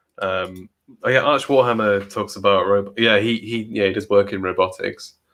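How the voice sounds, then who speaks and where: A man's fairly low voice at a moderate pace, with fairly even intonation and a quiet background. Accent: English Midlands. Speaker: podcast co-host, works in automation. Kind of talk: casual chat. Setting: both in same room, sharing one microphone.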